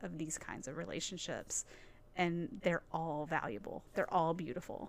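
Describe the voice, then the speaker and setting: A woman with a Southern US accent, fairly low in pitch and moderate in pace. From Nashville, Tennessee. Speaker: church staff member and nonprofit leader. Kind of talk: casual chat. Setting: studio.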